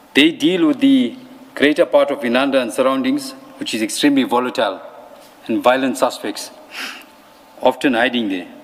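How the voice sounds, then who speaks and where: Against noticeable background noise, a man speaks at a fairly quick pace. He leaves long, frequent pauses. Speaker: police officer testifying at a commission. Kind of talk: testimony.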